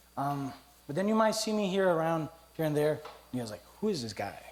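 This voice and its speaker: A man's fairly high-pitched voice with ordinary pitch variation and audible room echo. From Costa Rica. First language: Spanish. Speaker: teacher giving a church testimony. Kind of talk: church testimony. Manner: casual, humorous.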